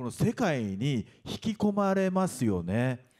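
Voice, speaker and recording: His pitch swings very widely as a man talks at a fairly slow pace. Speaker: voice actor. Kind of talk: panel talk at press event. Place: hall. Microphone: handheld.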